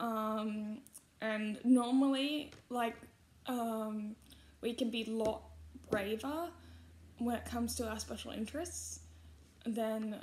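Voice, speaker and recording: A somewhat breathy woman's voice with an Australian accent, fairly high in pitch, at a very slow pace with long, frequent pauses, fairly even intonation and audible room echo. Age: 20s. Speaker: YouTuber. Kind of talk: casual vlog commentary. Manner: halting, frequent fillers.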